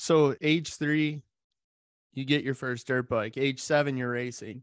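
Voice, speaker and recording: An unremarkable speaking voice at a fairly slow pace, with a dry, close sound with no echo and a quiet background. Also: man. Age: 40s. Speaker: podcast host. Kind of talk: interview.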